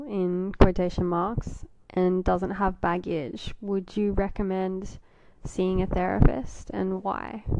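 At a very slow pace, a woman speaks with an Australian accent at a medium pitch. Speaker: podcast host. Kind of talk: interview and podcast narration.

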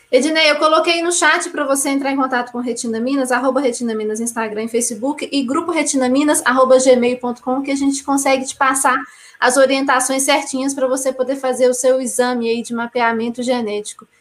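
Hardly pausing, a woman speaks at a fairly quick pace and a high pitch with fairly even intonation over noticeable background noise. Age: 30s. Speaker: live stream host. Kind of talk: hosting live stream.

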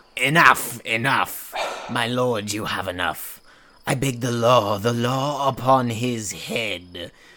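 A man with a medium pitch speaks at a very slow pace. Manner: indignant, insistent.

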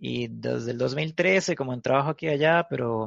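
A man speaks at a medium pitch with a Costa Rican accent. The sound is dry and close, with no echo. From Costa Rica, Guanacaste (Cañas). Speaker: punk musician. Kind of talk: casual chat.

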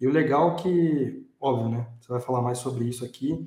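A somewhat breathy man's voice, fairly high in pitch and at a fairly quick pace. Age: 20s. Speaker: podcast host. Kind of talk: casual chat.

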